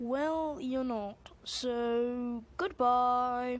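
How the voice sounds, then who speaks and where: A woman's put-on character voice at a high pitch. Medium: read story.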